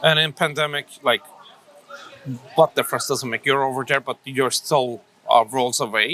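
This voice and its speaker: There is noticeable background noise around a man speaking at a moderate pace, his fairly high voice kept to fairly even intonation. The sound is dry and close with no echo, and he leaves long, frequent pauses. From Turkey, Ankara. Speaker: entrepreneur, coffee shop owner. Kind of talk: interview.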